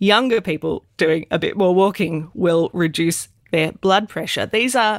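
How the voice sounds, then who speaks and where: A woman with an Australian accent speaks at a medium pitch and a fairly slow pace, with ordinary pitch variation. The sound is dry and close with no echo, on a very clean recording with a silent background. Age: 40s. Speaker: podcast co-host and GP. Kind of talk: casual chat.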